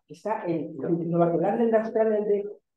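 Talking at a very fast pace, a woman uses a medium pitch with ordinary variation, and audible room echo surrounds her voice. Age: 70s. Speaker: professor. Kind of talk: panel discussion. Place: hall.

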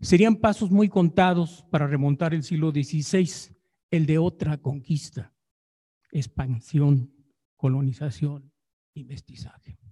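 Very slowly and somewhat breathily, a man speaks at a fairly high pitch in a dark, mellow tone with ordinary pitch variation over a quiet background. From Jiquilpan, Michoacán, Mexico; Michoacán, Mexico. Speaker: historian researcher. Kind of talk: paper reading. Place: hall.

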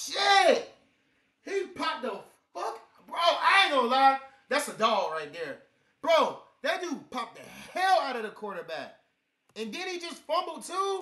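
A man's extremely high, raised and projected voice, animated in tone, with very wide pitch swings, big swings in loudness, a fairly slow pace and long, frequent pauses, over a quiet background. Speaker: reaction video creator. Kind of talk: casual reaction commentary. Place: home room. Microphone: webcam.

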